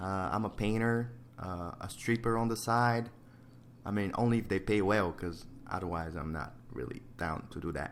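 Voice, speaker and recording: A man talks at a moderate pace in a fairly low pitch, with ordinary pitch variation. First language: not English. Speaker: digital painter. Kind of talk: casual chat. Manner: casual, hesitant.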